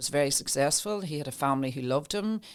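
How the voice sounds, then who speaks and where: With an Irish accent, a woman speaks at a very fast pace. Her voice is very deep and low, with ordinary pitch variation. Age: 60s. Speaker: mind wellness coach. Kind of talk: casual chat. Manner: halting.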